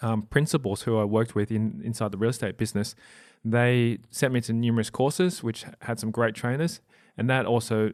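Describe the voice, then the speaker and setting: A man at medium pitch, fairly quick pace and fairly even intonation, on a very clean recording with a silent background. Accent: Australian. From Australia. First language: not English (family language). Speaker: property investor and podcast host. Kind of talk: interview. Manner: halting with frequent repetitions.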